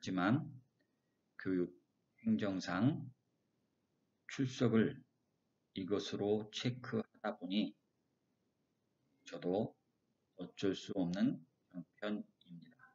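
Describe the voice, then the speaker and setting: A man talks at a very slow pace with long, frequent pauses. His fairly low pitch has ordinary variation. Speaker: professor. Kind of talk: lecture. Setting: recorded online lecture with slides. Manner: deliberately slow. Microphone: recording keeps cutting out.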